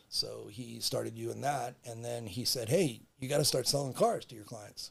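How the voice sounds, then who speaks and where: A man speaks at a moderate pace with an American accent. His loudness swings widely. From Los Angeles, California. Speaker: car broker. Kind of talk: casual interview chat. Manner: halting, many restarts and fillers.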